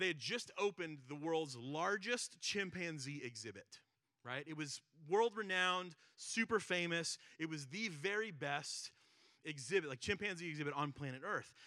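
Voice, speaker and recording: With lively intonation, a man speaks in a bright, sharp tone at a fairly high pitch. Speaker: pastor. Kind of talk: sermon. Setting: church. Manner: fast.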